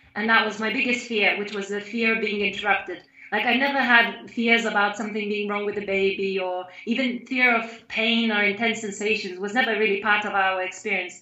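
Fairly high-pitched woman, fairly quick and hardly pausing, monotone and flat, with audible room echo. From Lithuania. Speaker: mother sharing birth story; interviewee. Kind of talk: testimony. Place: home room. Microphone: video call.

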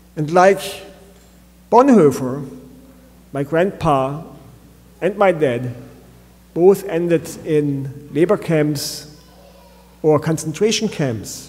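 A man at a very slow pace, with long, frequent pauses and ordinary pitch variation. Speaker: pastor. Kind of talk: sermon. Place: church. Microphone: podium.

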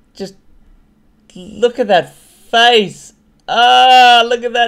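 A very slow pace against a quiet background. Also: man. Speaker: gaming video host. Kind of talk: casual gaming commentary.

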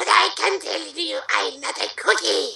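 Audible room echo carries a man's put-on character voice, pitched extremely high with big pitch swings. The tone is bright and sharp, with vocal fry. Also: moderate pace.

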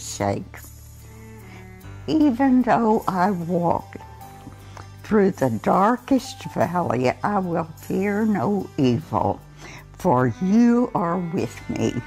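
A woman's fairly low voice at a very slow pace, full of very wide pitch swings, with faint music in the background. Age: 80s+. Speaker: scripture reader. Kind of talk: scripture reading. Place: home room. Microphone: lapel.

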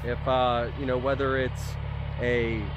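Noticeable background noise sits behind a man's voice, which sounds dry with no echo. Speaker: property owner vlogger. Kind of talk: casual vlog chat. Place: open country.

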